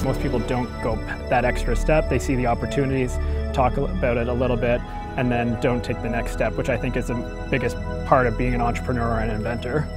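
A man talks at a very fast pace, and the sound is dry with no echo. Clear music can be heard in the background. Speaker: entrepreneur, university graduate. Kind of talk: interview answer. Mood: upbeat, enthusiastic. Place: garden.

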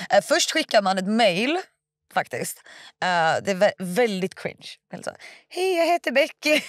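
A woman speaks at a fairly slow pace, her pitch swinging very widely. The background is quiet and the sound is dry with no echo. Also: fairly high pitch for a woman. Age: 20s. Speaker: stripper and online content creator; podcast guest. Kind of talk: casual interview. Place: studio. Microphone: studio mic.

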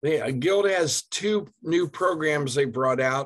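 A man talks very slowly with lively intonation against a quiet background. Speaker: mortgage lender; guest. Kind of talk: presentation in a business meeting. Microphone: video call.

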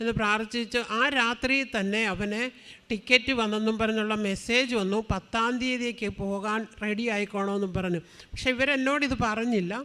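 A woman speaks in a fairly high voice with a bright, sharp tone. Her intonation stays fairly even. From Thiruvalla, Kerala. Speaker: churchgoer giving testimony. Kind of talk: testimony.

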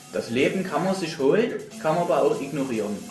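Speaking at a fairly slow pace with a Chemnitz accent, this voice has ordinary pitch variation, and music plays in the background. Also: man. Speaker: let's player. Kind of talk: casual gameplay commentary.

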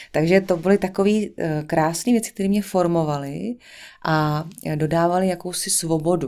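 Against a quiet background, a woman talks at a moderate pace with a fairly low pitch, a dark, mellow tone and ordinary pitch variation. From central Bohemia, Czech Republic. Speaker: singer and actress; actress. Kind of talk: casual interview chat. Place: studio. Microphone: studio mic.

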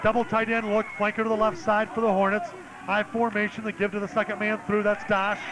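Against noticeable background noise, the speaker goes at a fairly quick pace with fairly even intonation. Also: man, high pitch for a man. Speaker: play-by-play announcer. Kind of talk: live sports play-by-play commentary. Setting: press box at stadium.

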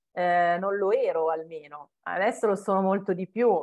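With fairly even intonation, a woman speaks at a very slow pace. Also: quiet background. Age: 40s. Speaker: home organization consultant; interviewee. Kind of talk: interview. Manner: hesitant, many fillers. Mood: warm, reflective. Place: home room. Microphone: earbuds.

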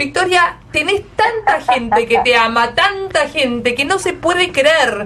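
A woman's raised, projected voice in an Argentine accent, high in pitch with very wide pitch swings, very even loudness and a very slow pace. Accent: Argentine Spanish (Rioplatense). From Argentina. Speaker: radio host. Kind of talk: radio interview. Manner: animated. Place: studio.

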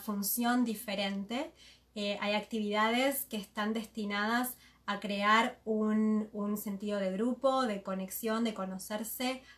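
This woman has a plain, everyday voice with a fairly high pitch. She talks at a fairly slow pace, her intonation fairly even. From Argentina, Buenos Aires. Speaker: interpreter and moderator. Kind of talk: live consecutive interpretation. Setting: live video stream, seated beside the guest.

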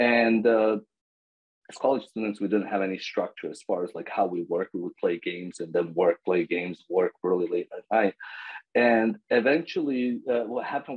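Someone speaks with a Serbo-Croatian accent over a quiet background. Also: man. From Bosnia. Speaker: agile coach. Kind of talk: casual interview. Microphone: video call.

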